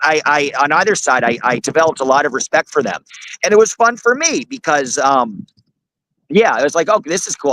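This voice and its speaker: A man talks loudly at a fairly quick pace with an American accent and lively intonation. The sound is dry and close, with no echo. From US Northeast, Manhattan. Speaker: court journalist, activist. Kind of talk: interview.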